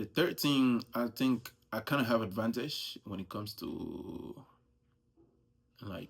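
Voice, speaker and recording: Speaking at a very slow pace with a strong Nigerian accent, a man keeps a medium pitch and ordinary pitch variation, with long, frequent pauses and big swings in loudness. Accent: thick Nigerian. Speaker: US Army soldier. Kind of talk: casual vlog monologue. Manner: casual, conversational.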